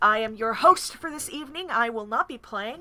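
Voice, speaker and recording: A woman's bright, sharp, fairly high-pitched voice at a fairly quick pace, with lively intonation. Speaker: stream host and game facilitator. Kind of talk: live-streamed tabletop game session. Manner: loud.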